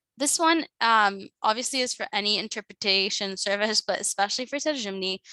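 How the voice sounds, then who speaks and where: Mumbling at a fairly quick pace, a woman with a fairly high pitch, ordinary pitch variation and a bright, sharp tone is heard on a very clean recording with a silent background and a dry, close sound with no echo. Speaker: nonprofit partnerships manager giving a training. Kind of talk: training presentation. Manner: fast.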